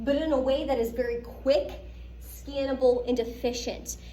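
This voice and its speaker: A woman with an American accent speaks in an animated tone. Audible room echo and noticeable background noise surround her voice. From Pittsburgh, US. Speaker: lecturer. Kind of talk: lecture.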